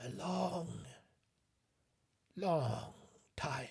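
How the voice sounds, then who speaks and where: A put-on character voice at a low-to-middle pitch. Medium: read story. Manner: feeble, apathetic, quavering.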